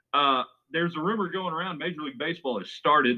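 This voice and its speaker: This is a man with an American accent. His pitch is fairly high. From West Texas. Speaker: podcast host. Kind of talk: casual sports betting podcast chat.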